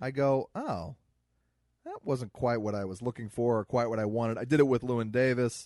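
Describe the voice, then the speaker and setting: A man with an American accent, medium pitch, ordinary pitch variation and a moderate pace, his tone dark and mellow, the sound dry and close with no echo. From US Midwest. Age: 30s. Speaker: comedian podcast co-host. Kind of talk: casual chat.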